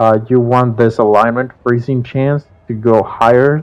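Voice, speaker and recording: With music in the background, a man talks at a fairly slow pace in fairly even intonation. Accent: non-native. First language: not English. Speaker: video game streamer. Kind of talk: gameplay tutorial. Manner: casual, with frequent fillers.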